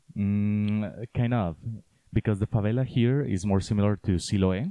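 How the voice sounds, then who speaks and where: At a moderate pace and very even loudness, the speaker uses a dark, mellow tone and fairly even intonation with a Spanish accent. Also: man, fairly low pitch for a man. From Colombia, Cali. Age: 20s. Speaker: student. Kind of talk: interview. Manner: halting.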